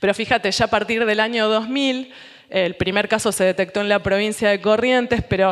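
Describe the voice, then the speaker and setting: Fairly high in pitch, a woman speaks in a normal speaking voice at a fairly quick pace. Her intonation is fairly even and her loudness very even. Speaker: scientist presenting research. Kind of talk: lecture.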